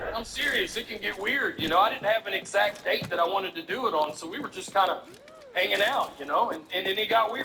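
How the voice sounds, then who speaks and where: There is noticeable background noise behind this man. He has a strong Southern US accent and a high pitch with ordinary pitch variation. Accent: thick Southern drawl. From US South, Alabama. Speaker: stand-up comedian. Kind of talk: stand-up.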